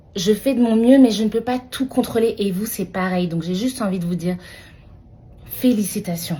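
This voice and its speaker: A woman speaks at a moderate pace with a fairly high pitch and ordinary pitch variation. Her voice is somewhat breathy, broken by long, frequent pauses. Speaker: midwife. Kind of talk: encouraging talk to camera. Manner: casual, with hesitations.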